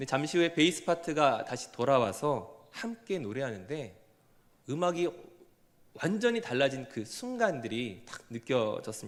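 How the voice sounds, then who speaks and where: Speaking at a fairly slow pace, a man shows very wide pitch swings and big swings in loudness. His pitch is fairly high. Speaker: pastor. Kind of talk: sermon.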